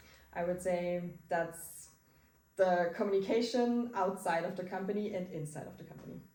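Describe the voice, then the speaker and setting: The voice has a dark, mellow tone and ordinary pitch variation at a moderate pace. Loudness swings widely, with audible room echo. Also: woman, medium pitch for a woman. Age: 20s. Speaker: marketing entrepreneur, digital nomad. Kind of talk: interview. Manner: halting.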